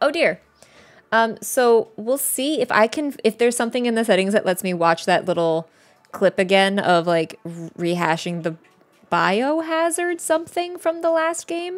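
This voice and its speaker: A woman speaks with a fairly high pitch. Her voice moves through very wide pitch swings. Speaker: gaming streamer; game streamer. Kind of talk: casual chat. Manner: fast. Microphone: studio mic.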